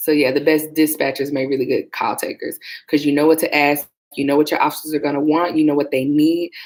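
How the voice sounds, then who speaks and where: Soft-spoken and monotone, a woman speaks in a flat voice at a very deep, low pitch. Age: 30s. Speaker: former police dispatcher and vlogger. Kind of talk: casual livestream chat. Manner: chatty, clear enunciation.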